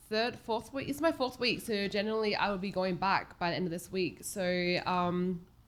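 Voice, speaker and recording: With an Australian accent, a woman talks with hardly any pauses and ordinary pitch variation. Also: medium pitch for a woman, moderate pace. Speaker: homelessness advocate. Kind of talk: casual chat. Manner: halting.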